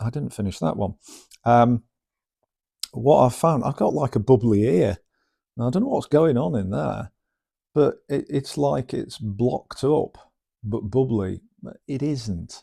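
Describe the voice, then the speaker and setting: With a dark, mellow tone and vocal fry, a man speaks at medium pitch and a fairly slow pace, his intonation lively and broken by long, frequent pauses. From northern England. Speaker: vlogger recovering from brain tumour surgery. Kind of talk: personal vlog monologue. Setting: indoors at home. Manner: halting, many fillers and lost words; occasional slurring when tired.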